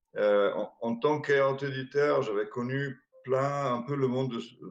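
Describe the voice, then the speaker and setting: With an Italian accent, a man speaks at a medium pitch. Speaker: board game distributor, company founder. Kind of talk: interview. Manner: hesitant, many fillers.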